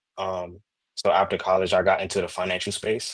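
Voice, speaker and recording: This man has a normal speaking voice, pitched fairly low and delivered at a moderate pace. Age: 20s. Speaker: finance professional. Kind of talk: casual interview.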